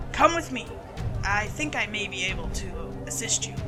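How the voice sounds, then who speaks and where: Loud music plays in the background. Over it, a man uses a high-pitched, put-on character voice. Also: moderate pace. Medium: read story. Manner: falsely polite, creepy customer-service.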